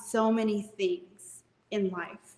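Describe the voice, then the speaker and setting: Speaking with a Spanish accent, this woman has a fairly high voice. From Mexico, moved to US at age seven. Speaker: real estate business owner and author. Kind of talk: interview testimony.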